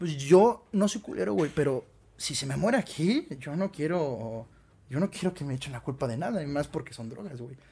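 A man's fairly high voice, dark and mellow in tone, somewhat breathy, with lively intonation at a moderate pace. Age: 20s. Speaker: musician. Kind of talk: casual interview chat.

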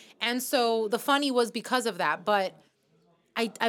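A woman with an American accent and an unremarkable speaking voice talks at a fairly high pitch and moderate pace. Her intonation is lively, and the recording is very clean with a silent background. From New York. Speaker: comedian. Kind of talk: casual chat.

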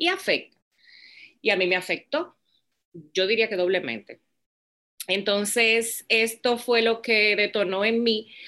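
A woman's fairly high, bright, sharp voice with very even loudness, ordinary pitch variation, a fairly slow pace and long, frequent pauses, on a very clean recording with a silent background. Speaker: business founder. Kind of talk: interview.

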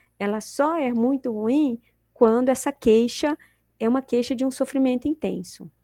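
On a very clean recording with a silent background, a woman speaks at a moderate pace in a fairly high pitch, her tone dark and mellow, the sound dry and close with no echo. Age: 50s. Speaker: psychology professor. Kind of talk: interview.

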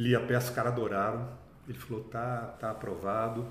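With audible room echo, a man speaks at medium pitch in a somewhat breathy voice. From Brazil, São Paulo (from age 7; born Minas Gerais). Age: 60s. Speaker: actor. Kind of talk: interview conversation.

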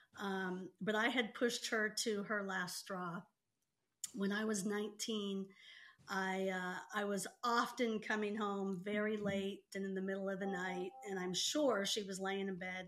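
Flat, monotone intonation marks this woman's medium-pitched voice as she speaks at a fairly slow pace. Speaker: sister of the host. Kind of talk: casual family conversation.

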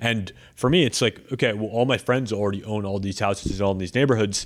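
In an ordinary speaking voice with an American accent, a man of medium pitch talks at a fairly quick pace with ordinary pitch variation on a very clean recording with a silent background. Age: 20s. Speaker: real estate entrepreneur. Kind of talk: casual interview.

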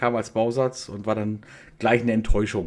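A man speaking at a moderate pace. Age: 40s. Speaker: hobby laser maker, media designer. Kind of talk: casual interview chat.

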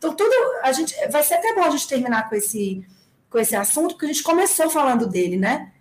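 A woman's voice moves through very wide pitch swings against noticeable background noise. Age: 40s. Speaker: running app executive and race organizer. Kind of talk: casual interview.

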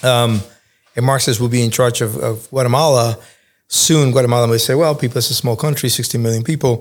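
A man with an American accent talks at a fairly quick pace in a medium pitch, with fairly even intonation and an unremarkable speaking voice. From Cuba, Spain and New York. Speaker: think tank fellow, former journalist. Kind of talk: interview podcast.

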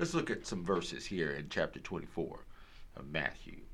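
A man speaks at a moderate pace with lively intonation and vocal fry. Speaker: radio preacher. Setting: radio broadcast. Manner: animated, fervent, emphatic, punctuated by hallelujahs.

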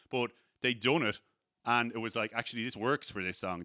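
The recording is very clean, with a silent background and a dry, close sound with no echo. A man speaks at a medium pitch in a bright, sharp tone. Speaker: podcast host. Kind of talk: casual banter chat. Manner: profane, joking.

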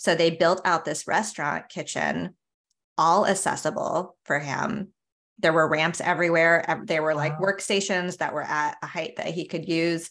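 A woman speaks at a moderate pace with an American accent. Her intonation is fairly even. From US West Coast, San Diego. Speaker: career podcast co-host, former Marine. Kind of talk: casual chat.

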